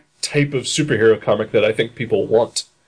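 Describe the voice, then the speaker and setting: A man speaks at a moderate pace with an American accent. His fairly high voice is somewhat breathy. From Dayton, Ohio. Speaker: podcast host. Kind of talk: casual chat.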